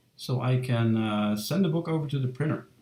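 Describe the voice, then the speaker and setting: Somewhat breathy and dark, mellow in tone, a man's medium-pitched voice moves at a moderate pace with lively intonation. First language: not English. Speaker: illustrator streaming a drawing session. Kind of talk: casual live-stream talk. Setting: home live stream, door shut. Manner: halting, many fillers.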